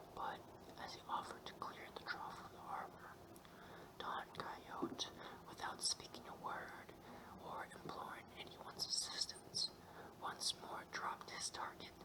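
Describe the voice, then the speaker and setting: A man whispers with long, frequent pauses over noticeable background noise. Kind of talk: audiobook reading. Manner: whispered; calm, soothing.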